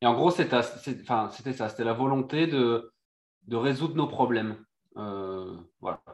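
At a very slow pace, a man with a medium pitch and ordinary pitch variation talks with long, frequent pauses. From Réunion and Brittany, France. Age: 30s. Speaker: sailor and former marine commando. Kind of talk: casual interview chat.

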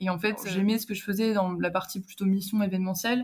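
Somewhat breathy and at a medium pitch, a woman speaks at a very fast pace in a monotone, flat intonation. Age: 20s. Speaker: student traveller. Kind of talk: casual interview.

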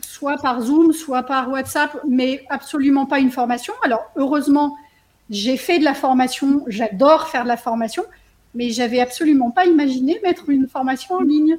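High-pitched speech from a woman, moderately paced and ordinary in pitch variation. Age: 50s. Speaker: coaching program participant and trainer. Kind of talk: testimony. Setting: video call.

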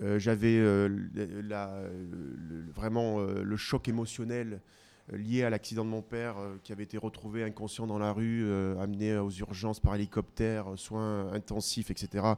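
On a very clean recording with a silent background, a man speaks at a fairly slow pace, fairly low in pitch, with a dark, mellow tone and monotone, flat intonation. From southwestern France, Pau. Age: 40s. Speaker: ultra-distance cyclist and teacher. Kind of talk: interview conversation. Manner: hesitant, many fillers and repetitions.

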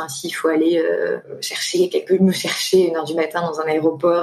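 A woman with a fairly low voice talks at a moderate pace. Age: 20s. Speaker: guest seeking couple advice. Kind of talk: personal testimony. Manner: hesitant with frequent fillers.

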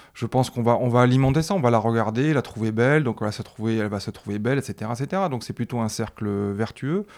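Using ordinary pitch variation, a man with a medium pitch speaks at a fairly quick pace. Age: 40s. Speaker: father of a teenager. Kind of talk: casual chat. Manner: halting.

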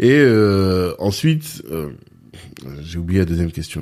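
A man's dark, mellow voice at a fairly low pitch, in a very clean recording with a silent background. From France, Orléans. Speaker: podcast host. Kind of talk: interview.

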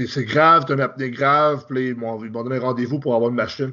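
A man talks in a normal speaking voice at a medium pitch, with fairly even intonation. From Quebec. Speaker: professional bodybuilder. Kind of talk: casual interview.

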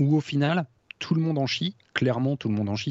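In a normal speaking voice, a man talks at a fairly quick pace with ordinary pitch variation, in a dry, close sound with no echo and a quiet background. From France. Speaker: guitarist. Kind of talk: casual chat.

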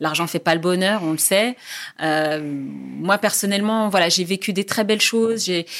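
A woman's ordinary speaking voice at medium pitch and fairly slow pace, with ordinary pitch variation. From Tunisia, Jendouba region. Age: 40s. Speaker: journalist. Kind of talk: interview.

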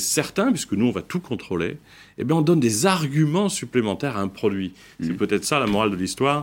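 Moving at a fairly quick pace, a man's pitch swings very widely on a very clean recording with a silent background. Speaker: founder of a consumer food brand. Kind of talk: debate interview.

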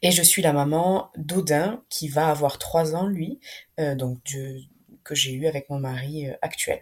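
Speaking at a very slow pace, the voice is somewhat breathy and has ordinary pitch variation. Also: woman, very deep, low pitch for a woman. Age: 30s. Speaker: nurse and doula. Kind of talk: personal testimony interview. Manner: hesitant, many fillers.

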